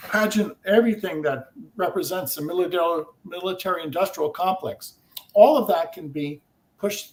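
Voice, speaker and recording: With lively intonation, a man with a high pitch talks at a moderate pace. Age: 60s. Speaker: inventor. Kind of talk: interview.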